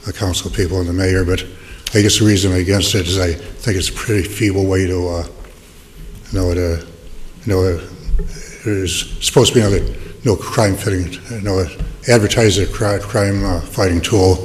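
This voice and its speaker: Fairly even intonation and long, frequent pauses come through audible room echo and noticeable background noise. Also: man, very deep, low pitch for a man, fairly quick pace. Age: 70s. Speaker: public commenter at city council. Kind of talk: public comment at hearing. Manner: halting, many repetitions and fillers.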